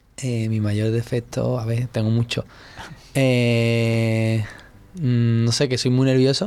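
In a dark, mellow tone, the speaker talks at a very slow pace with monotone, flat intonation. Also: man, medium pitch for a man. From Andalusia, Spain (Seville). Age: 20s. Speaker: dancer. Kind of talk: interview. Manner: hesitant.

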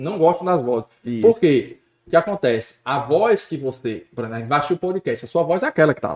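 Speaking at a moderate pace in an ordinary speaking voice, a man with a fairly high pitch uses lively intonation. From Natal, Rio Grande do Norte, Brazil. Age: 30s. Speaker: sports commentator. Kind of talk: casual chat.

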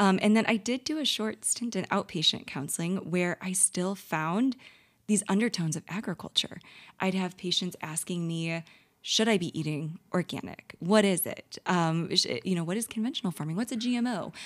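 On a very clean recording with a silent background, a woman with an American accent talks at a moderate pace and medium pitch, with ordinary pitch variation. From St. Louis, Missouri, US. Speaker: dietitian. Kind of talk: casual interview. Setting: conference.

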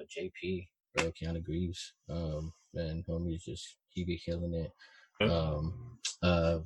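A man speaks with a very deep, low pitch and a somewhat breathy voice. His intonation is flat and monotone. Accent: American. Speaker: music producer. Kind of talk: casual chat.

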